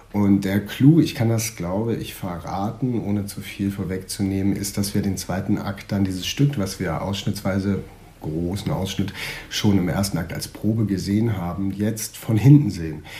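Audible room echo surrounds a man speaking at a moderate pace with fairly low pitch and ordinary pitch variation. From northern Germany, Schleswig-Holstein. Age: 30s. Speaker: stage actor. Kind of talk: casual interview. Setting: theatre building.

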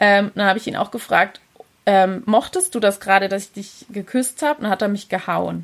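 Speaking at a fairly quick pace, a woman with a medium pitch keeps her intonation fairly even while her loudness swings widely. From southern Germany, Pforzheim area. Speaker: early childhood educator and podcaster. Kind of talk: interview.

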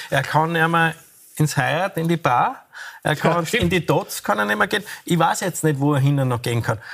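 An unremarkable speaking voice from a man, fairly high-pitched, with lively intonation, very even loudness and a moderate pace. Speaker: restaurateur and former politician. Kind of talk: TV panel discussion.

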